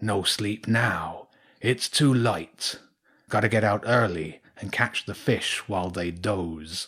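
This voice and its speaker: A man puts on a character voice, pitched fairly low and paced fairly slowly. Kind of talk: bedtime story. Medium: read story. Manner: gruff, terse, unhurried.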